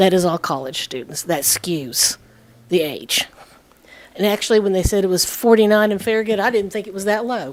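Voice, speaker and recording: Speaking at a fairly quick pace, a woman uses a medium pitch and lively intonation. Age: 60s. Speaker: resident speaking at public comment. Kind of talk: public comment at town meeting. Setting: town council meeting.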